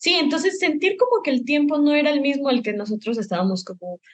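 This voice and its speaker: A woman's somewhat breathy voice, fairly quick in pace, with ordinary pitch variation. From Mexico, Michoacán (Morelia). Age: 20s. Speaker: film director and student. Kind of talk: interview. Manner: hesitant, many fillers.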